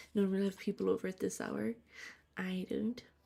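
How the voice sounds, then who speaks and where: A woman speaks in a soft-spoken manner. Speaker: streamer. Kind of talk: gaming livestream chat. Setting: home livestream at night.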